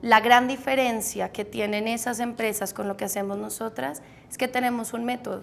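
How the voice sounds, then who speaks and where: A woman speaks with a normal speaking voice at a fairly high pitch. Her intonation stays fairly even, and her pace is moderate. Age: 30s. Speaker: meditation teacher and entrepreneur. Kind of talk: interview.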